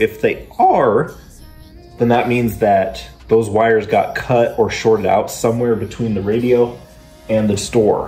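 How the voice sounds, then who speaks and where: Over faint background music, a man speaks at a moderate pace. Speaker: car hobbyist vlogger. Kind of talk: casual vlog chat. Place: garage. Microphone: phone near.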